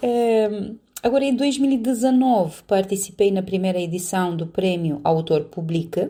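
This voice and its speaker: A woman with a Romanian accent talks at a fairly slow pace. Her tone is dark and mellow, with ordinary pitch variation. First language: Romanian (speaking Portuguese). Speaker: poet and spiritual counsellor. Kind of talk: interview.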